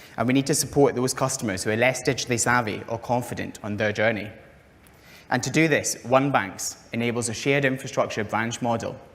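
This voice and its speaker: With a Scottish accent, a man talks at a fairly quick pace and medium pitch, keeping his intonation fairly even. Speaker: fintech company founder. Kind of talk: conference presentation. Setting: conference stage with audience.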